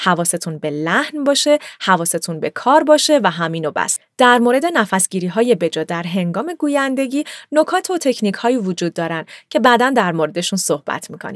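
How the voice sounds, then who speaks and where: Against a quiet background, a woman speaks at a fairly quick pace with very wide pitch swings and a dry sound with no echo. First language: bilingual (speaking Persian). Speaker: voice actor and voice-over artist; voice actor, narrator teaching voice work. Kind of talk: tutorial. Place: booth. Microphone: studio mic.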